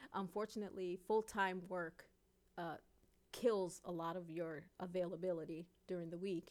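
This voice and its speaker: A woman's fairly low voice in a monotone, flat delivery. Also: moderate pace. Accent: New York. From New York City, Queens and Brooklyn. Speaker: singer, dancer and author. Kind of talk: interview.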